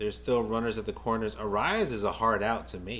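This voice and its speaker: A man speaks with a New York accent at a fairly low pitch. Noticeable background noise runs behind him. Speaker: baseball fan streamer, nurse by day. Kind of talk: live game watch-along commentary. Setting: live stream. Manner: casual, repetitive stammering.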